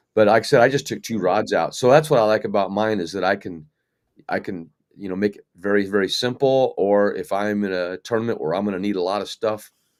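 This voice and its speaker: On a very clean recording with a silent background, a man uses a normal speaking voice at a fairly low pitch, a fairly quick pace and ordinary pitch variation. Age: 60s. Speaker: kayak fishing guide. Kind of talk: casual chat.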